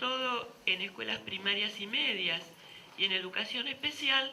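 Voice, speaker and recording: A woman speaks with ordinary pitch variation. Audible room echo and noticeable background noise surround her voice. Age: 70s. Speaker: philosophy professor. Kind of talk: lecture.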